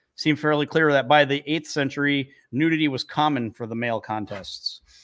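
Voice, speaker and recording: With an American accent, a man speaks in an unremarkable speaking voice at a fairly high pitch. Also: very clean recording, silent background. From northern New York, near Canadian border. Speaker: podcast co-host. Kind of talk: casual chat; reading out researched facts.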